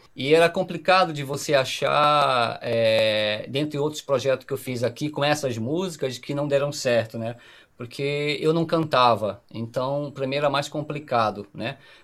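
A man with a normal speaking voice talks at a fairly slow pace with hardly any pauses. His fairly high pitch shows ordinary variation, and the recording is very clean, with a silent background. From Pará, northern Brazil. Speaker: musician, guitarist and singer-songwriter. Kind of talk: casual podcast interview.

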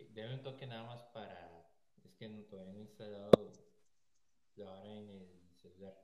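A man's fairly low voice with long, frequent pauses, audible room echo and noticeable background noise. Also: ordinary pitch variation, moderate pace. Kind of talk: casual chat. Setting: call recorded on iPad. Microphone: iPad mic, sounds far away.

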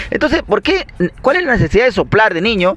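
Lively intonation from a man, with noticeable background noise. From Peru, Lima (Cono Norte). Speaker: podcast co-host. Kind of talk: casual chat.

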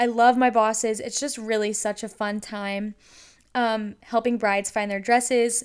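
Fairly high-pitched woman with an ordinary speaking voice, fairly even intonation and a moderate pace, on a very clean recording with a silent background. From North Carolina. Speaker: podcast host, college student. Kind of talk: casual faith-based monologue. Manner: casual, filler-heavy (um, like).

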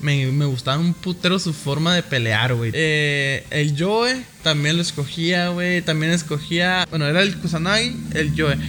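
A man with a fairly high pitch speaks at a fairly slow pace with hardly any pauses and very even loudness. Noticeable background noise is present. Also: ordinary pitch variation. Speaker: podcast co-host. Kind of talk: casual chat. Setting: studio.

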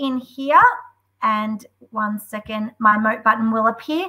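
Speaking in an Australian accent, this voice has an enthusiastic tone, ordinary pitch variation and a fairly slow pace. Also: woman. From Australia, Melbourne. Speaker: school deputy head and edtech community leader. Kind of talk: webinar software demo. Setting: video call.

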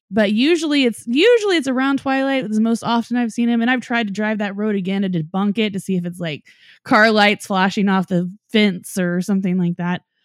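Speaking fairly quickly, a woman with an American accent uses a plain, everyday voice of fairly high pitch with ordinary pitch variation. The recording is very clean with a silent background. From Norman, Oklahoma. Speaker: paranormal podcaster. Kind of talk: storytelling; casual chat.

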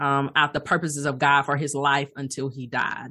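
A woman with a Southern US accent, very deep and low in pitch, bright and sharp in tone, at a moderate pace over a quiet background. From Alabama, US South. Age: 30s. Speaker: life coach and pastor. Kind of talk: interview.

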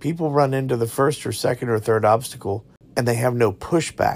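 A somewhat breathy voice shows ordinary pitch variation on a very clean recording with a silent background. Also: man. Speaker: podcast co-host and high school baseball coach. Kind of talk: casual chat.

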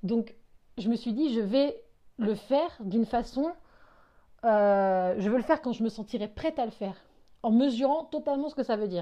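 A woman's fairly high-pitched voice with a dark, mellow tone, ordinary pitch variation, a moderate pace and long, frequent pauses. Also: quiet background. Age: 20s. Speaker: solo podcaster. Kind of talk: personal monologue. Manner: halting, with frequent fillers and repetitions.

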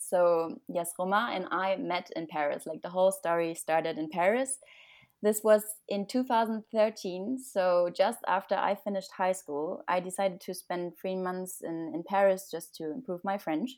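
At a moderate pace, a woman with a German accent speaks at a medium pitch with ordinary pitch variation on a very clean recording with a silent background. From Germany. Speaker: graduate student. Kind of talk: casual interview.

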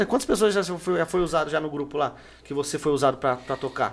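A man with ordinary pitch variation. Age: 30s. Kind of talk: casual chat. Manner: animated.

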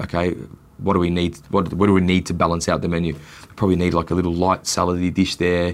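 A man speaks with a very deep, low voice. His pace is fairly quick. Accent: Australian. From Australia, Melbourne. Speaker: chef and restaurateur. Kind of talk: casual interview.

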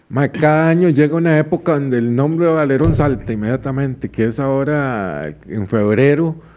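The voice has a dark, mellow tone with a Costa Rican accent. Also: man. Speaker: podcast host. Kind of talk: casual chat.

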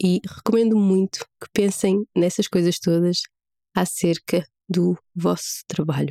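In a European Portuguese accent, a woman with a dark, mellow tone speaks at a very slow pace with fairly even intonation, the sound dry and close with no echo. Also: medium pitch for a woman. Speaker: podcast host. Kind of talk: solo podcast monologue.

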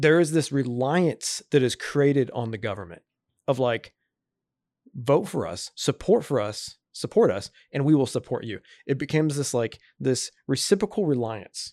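A man with an American accent talks at a moderate pace in an unremarkable speaking voice, fairly high-pitched with lively intonation. The recording is very clean, with a silent background. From California. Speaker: podcast guest, work colleague of host. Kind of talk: casual conversation.

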